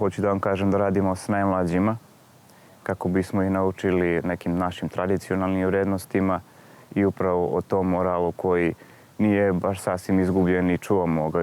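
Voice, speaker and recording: A man with a very deep, low pitch speaks in a monotone, flat intonation at a moderate pace, recorded very cleanly against a silent background. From Kucura, Vojvodina, Serbia. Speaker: youth cultural association president. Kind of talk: documentary interview.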